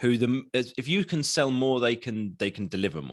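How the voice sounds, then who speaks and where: The speaker talks at a fairly quick pace with an English accent. The background is quiet. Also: man. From England. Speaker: marketing consultant. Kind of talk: podcast interview. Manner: casual.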